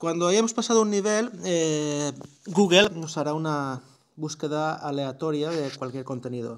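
This man has an unremarkable speaking voice, pitched fairly high, with lively intonation. He talks at a fairly slow pace. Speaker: tech YouTuber. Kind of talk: tutorial.

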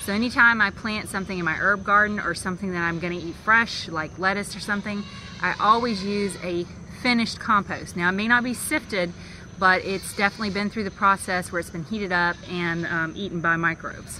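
A woman's fairly quick, fairly even-toned speech, dry with no echo and light background noise. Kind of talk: tutorial. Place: garden.

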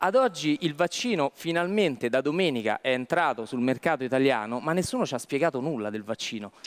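At a fairly quick pace, a man speaks with a fairly high pitch and lively intonation over a quiet background. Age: young. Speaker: lawyer. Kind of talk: talk show discussion. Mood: critical, argumentative. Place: studio. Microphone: headset.

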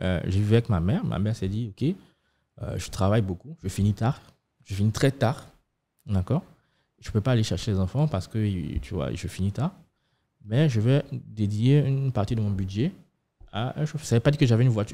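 A man's very fast, somewhat breathy delivery, dark and mellow in tone, with lively intonation and long, frequent pauses. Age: 30s. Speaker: fintech startup co-founder; podcast guest. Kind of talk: podcast interview. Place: studio. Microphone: studio mic.

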